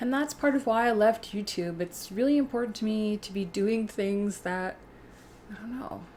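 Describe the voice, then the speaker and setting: A woman with a Canadian accent speaks in a relaxed, somewhat breathy tone with ordinary pitch variation. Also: fairly high pitch for a woman, moderate pace. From Canada, Alberta (Edmonton). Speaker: YouTuber. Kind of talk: casual livestream chat reading comments. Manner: relaxed, conversational.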